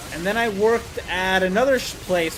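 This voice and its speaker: Loud and high-pitched, a man speaks with music in the background. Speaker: gaming streamer. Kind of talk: livestream gameplay chat.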